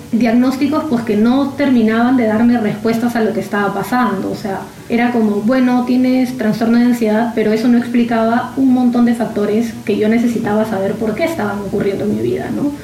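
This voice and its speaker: A woman's fairly high voice at a fairly quick pace with hardly any pauses and fairly even intonation, amid noticeable background noise and audible room echo. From Peru, Lima. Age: 30s. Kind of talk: interview testimony. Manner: halting, frequent repetitions.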